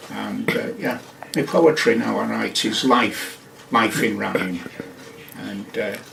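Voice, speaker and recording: A man's very slow speech with long, frequent pauses, audible room echo and noticeable background noise. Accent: Lancashire. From northern England, Wigan and Blackpool. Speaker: poet. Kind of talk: radio interview. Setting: studio. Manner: halting.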